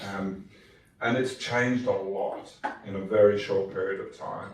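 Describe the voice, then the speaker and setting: There is audible room echo as a man with an Australian accent talks in a fairly low voice. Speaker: tech company executive, conference panelist. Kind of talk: panel discussion.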